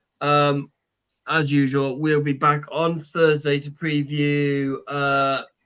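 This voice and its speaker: A man with a British accent speaks at a fairly high pitch. His delivery is very slow and monotone, with flat intonation. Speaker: podcast co-host. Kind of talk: casual chat; show sign-off.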